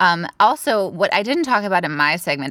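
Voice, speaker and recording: A woman with an American accent and a bright, sharp tone, in a very clean recording with a silent background. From San Francisco Bay Area, California. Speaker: podcast co-host. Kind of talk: casual chat.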